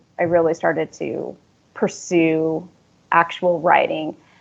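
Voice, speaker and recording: A woman's plain, everyday voice with an American accent, fairly low in pitch and at a fairly slow pace. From US. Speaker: author. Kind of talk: casual interview chat.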